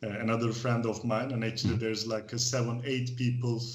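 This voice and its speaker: Audible room echo colors the voice of a man with a Turkish accent, who speaks at a medium pitch and a fairly quick pace with fairly even intonation. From Turkey. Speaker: expat club organizer. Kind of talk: casual interview. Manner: halting.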